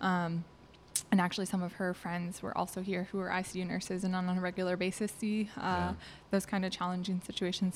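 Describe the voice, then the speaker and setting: Speaking very fast in an American accent, a woman keeps a flat, monotone intonation. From US Midwest, southeast Wisconsin. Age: 20s. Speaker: army physician. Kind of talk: testimony.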